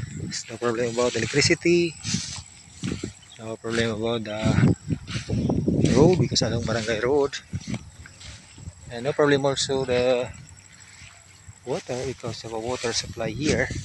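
Loud background noise surrounds a man whose dry sound has no echo, with ordinary pitch variation and long, frequent pauses. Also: moderate pace. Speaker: property seller or agent. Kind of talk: casual walkthrough commentary. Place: open country. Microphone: phone near.

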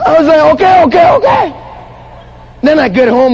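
An animated man with a Ghanaian accent, with noticeable background noise. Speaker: motivational speaker. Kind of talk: motivational speech. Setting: stage with audience at a conference. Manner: animated, engages audience with questions.

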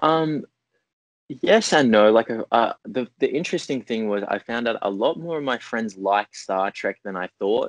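Over a quiet background, a man with an Australian accent speaks at a fairly slow pace with lively intonation, the sound dry with no echo. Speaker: actor. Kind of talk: interview. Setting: video call. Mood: friendly, relaxed. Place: home room. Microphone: earbuds.

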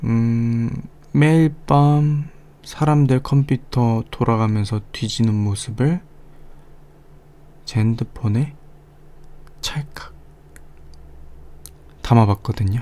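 Speaking at a very slow pace with long, frequent pauses, a man uses a playful, smug tone that is dark and mellow, at a medium pitch with ordinary pitch variation. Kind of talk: ASMR roleplay, teasing office-blackmail scene. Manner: teasing, playful, slightly smug.

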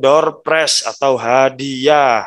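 A man speaks at a very slow pace against a quiet background. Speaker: school teacher acting as emcee. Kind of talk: formal event moderating. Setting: video call. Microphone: video call.

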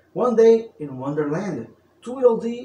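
With audible room echo, a man talks in a sing-song, playful tone with lively intonation. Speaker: storyteller. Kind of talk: bedtime story narration, read aloud in a storyteller's voice. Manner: theatrical, archaic-flavoured storyteller delivery; playful, sing-song rhyming cadence. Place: home room.

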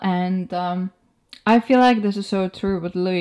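A woman with a slightly mellow tone speaks at a moderate pace.

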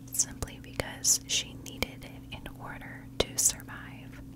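A soft-spoken woman whispers at a fairly slow pace. Loud background noise fills the clip. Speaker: true crime narrator. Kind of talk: storytelling narration. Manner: soft close-mic whisper. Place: home room. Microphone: studio mic.

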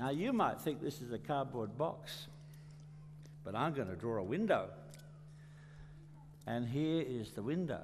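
With vocal fry and lively intonation, a man speaks at a fairly slow pace, taking long, frequent pauses over noticeable background noise. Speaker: children's storyteller. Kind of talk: storytelling to children. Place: stage. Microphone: headset.

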